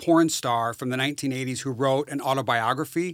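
With an unremarkable speaking voice, a man talks at a fairly quick pace and fairly high pitch, with ordinary pitch variation and a dry, close sound with no echo. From rural northern Wisconsin. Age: 50s. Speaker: social worker and amateur investigator. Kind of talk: interview.

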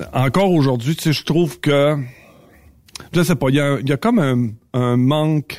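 In a Quebec accent, a man talks at a fairly slow pace. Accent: Québécois French. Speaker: trucking industry columnist. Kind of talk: casual chat. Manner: halting.

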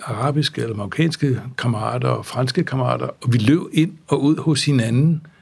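A man's somewhat breathy voice moves at a fairly slow pace with ordinary pitch variation. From grew up abroad in various countries (diplomat's child). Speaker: law professor and former international judge. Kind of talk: interview, relaxed academic conversation. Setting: studio.

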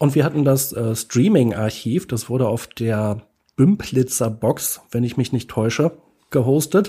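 Recorded very cleanly against a silent background, a man speaks at medium pitch in a dark, mellow, somewhat breathy tone with lively intonation. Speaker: podcast co-host. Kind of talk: casual chat. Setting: improvised studio in a hotel room.

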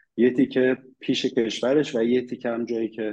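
A man with a dark, mellow tone. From Iran. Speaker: immigrant sharing experience. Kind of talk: casual interview chat.

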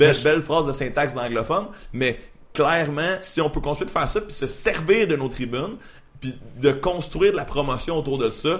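An unremarkable speaking voice from a man, with lively intonation at a moderate pace. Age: 20s. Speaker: freelance media creator and voice performer. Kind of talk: casual chat.

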